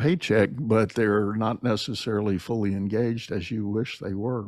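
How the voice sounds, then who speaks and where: A man's fairly low-pitched voice, an unremarkable speaking voice, at a moderate pace with ordinary pitch variation. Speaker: podcast host and leadership coach. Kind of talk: casual interview conversation.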